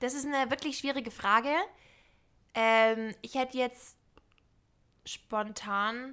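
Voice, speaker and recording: Her tone bright and sharp, a woman with a high pitch speaks at a very slow pace with fairly even intonation and long, frequent pauses. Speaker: podcast co-host. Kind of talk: casual chat.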